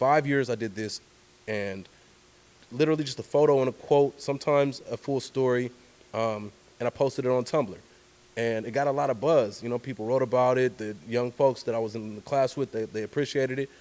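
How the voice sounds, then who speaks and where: A man's unremarkable speaking voice with an American accent, medium in pitch, fairly quick, with fairly even intonation. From Oakland, California (East Oakland). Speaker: journalist and storyteller. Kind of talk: casual interview conversation.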